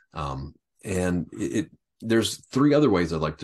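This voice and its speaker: Very deep and low in pitch, a man speaks with vocal fry at a moderate pace. His intonation is lively. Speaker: podcast host. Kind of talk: interview conversation. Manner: halting.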